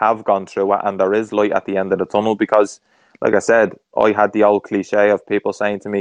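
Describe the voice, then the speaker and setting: A man with a Dublin accent speaks very fast at a fairly low pitch, the sound dry and close with no echo and the background quiet. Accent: Dublin Irish. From Ireland, Dublin. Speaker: former professional footballer. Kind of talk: interview conversation.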